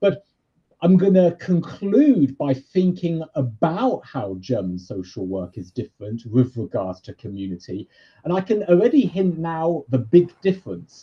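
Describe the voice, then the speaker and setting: A man with a British accent talks at a fairly slow pace in a dark, mellow tone, his fairly high pitch swinging very widely and his loudness rising and falling sharply. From Britain. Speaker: university lecturer in social work. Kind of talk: lecture.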